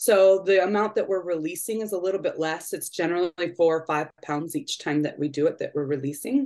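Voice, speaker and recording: A woman with an unremarkable speaking voice and a fairly low pitch talks at a fairly quick pace with ordinary pitch variation and hardly any pauses. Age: 40s. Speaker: program participant. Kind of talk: casual chat.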